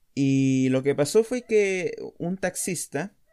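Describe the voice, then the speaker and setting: With a Chilean accent and ordinary pitch variation, a man is heard in a very clean recording with a silent background. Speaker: podcast host. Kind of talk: casual monologue.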